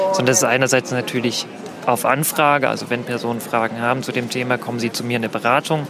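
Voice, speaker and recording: At a very fast pace, a man with a medium pitch talks in fairly even intonation over noticeable background noise. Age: 20s. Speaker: queer health counselor. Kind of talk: one-on-one conversation at a public event.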